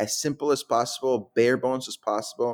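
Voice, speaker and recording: A man at medium pitch, fairly quick, with a Mexican accent. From Guadalajara, Mexico. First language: Spanish. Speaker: startup founder. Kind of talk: interview.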